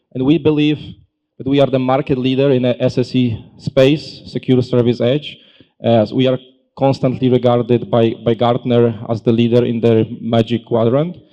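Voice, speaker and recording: In a European accent, a man with a medium pitch and a dark, mellow tone speaks at a moderate pace with monotone, flat intonation. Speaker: tech company solutions consultant. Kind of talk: conference presentation. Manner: halting, many fillers.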